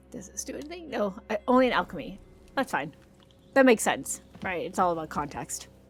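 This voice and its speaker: Over music in the background, a woman at a medium pitch talks at a fairly quick pace, her pitch swinging very widely and her loudness rising and falling in big swings. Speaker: gaming youtuber. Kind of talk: let's play commentary. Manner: animated; varying loudness.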